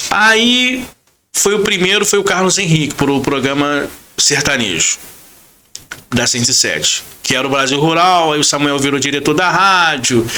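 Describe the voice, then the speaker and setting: In a room with audible echo, a man with a fairly high pitch talks in an animated tone at a fairly slow pace, his loudness very even. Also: lively intonation. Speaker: radio announcer. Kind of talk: podcast interview. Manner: casual, animated storytelling.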